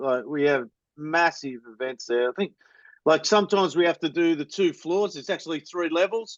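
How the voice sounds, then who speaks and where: In an Australian accent, a man with fairly high pitch and ordinary pitch variation talks at a moderate pace. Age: 40s. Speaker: supporters club member and podcaster. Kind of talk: casual chat.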